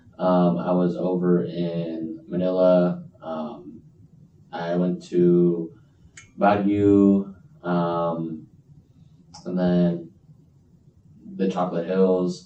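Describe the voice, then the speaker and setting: In a room with audible echo and noticeable background noise, a man speaks very slowly in a very deep, low pitch, with monotone, flat intonation and long, frequent pauses. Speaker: podcast guest. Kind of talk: casual chat.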